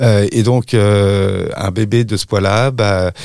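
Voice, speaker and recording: A man with an unremarkable speaking voice talks at a fairly low pitch with fairly even intonation, on a very clean recording with a silent background. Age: 40s. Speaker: parent of premature children, association volunteer. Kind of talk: testimony.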